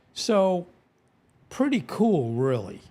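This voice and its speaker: A man with an American accent at a very slow pace. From US Northeast, Rhode Island. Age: 70s. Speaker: YouTube animal storyteller. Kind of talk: live stream chat with viewers. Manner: halting, with many fillers.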